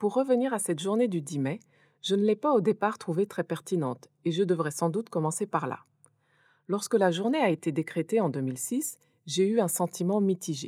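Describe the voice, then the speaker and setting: A woman's dark, mellow voice with very wide pitch swings, dry and close with no echo, on a very clean recording with a silent background. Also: medium pitch for a woman, moderate pace. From France. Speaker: podcast host. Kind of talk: scripted narration.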